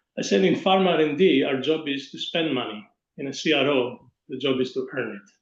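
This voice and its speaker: A man with an unremarkable speaking voice talks fairly quickly at a fairly high pitch. His intonation is lively and his loudness swings widely. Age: 60s. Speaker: pharma industry executive and investor. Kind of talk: webinar panel discussion.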